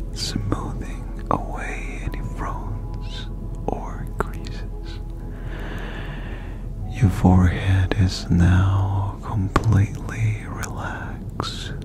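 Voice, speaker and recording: Over clear music in the background, a man whispers breathily at a very slow pace. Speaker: ASMR relaxation guide. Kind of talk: guided relaxation, body scan. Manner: very soft, close-mic breathy voice. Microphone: studio mic.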